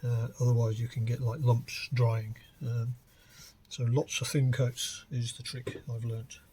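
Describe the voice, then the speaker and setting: A man speaks at medium pitch and a fairly slow pace, somewhat breathy. His intonation is monotone and flat. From West Midlands of England. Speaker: hobbyist guitar builder. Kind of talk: casual DIY talk to camera. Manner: hesitant, conversational.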